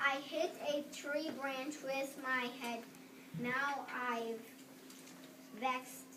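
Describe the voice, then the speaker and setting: With clear background noise, a woman in a high-pitched put-on character voice speaks very slowly, leaving long, frequent pauses. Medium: stage play. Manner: playful, rhyming.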